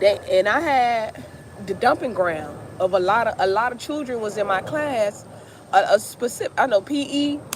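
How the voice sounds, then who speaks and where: Over noticeable background noise, a woman speaks at a moderate pace in a fairly high voice. Her delivery is animated, with lively intonation. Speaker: music teacher and vlogger. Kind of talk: casual vlog chat. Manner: loud.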